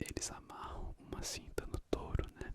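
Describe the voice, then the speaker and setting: A man's calm whispering over noticeable background noise. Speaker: ASMR content creator. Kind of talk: ASMR book reading of trivia, casual talk to camera. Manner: soft-spoken, calm, relaxing.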